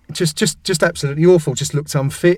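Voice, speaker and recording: A man speaks with an English accent at a very fast pace. His voice is somewhat breathy. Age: 40s. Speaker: football website editor. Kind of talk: casual chat.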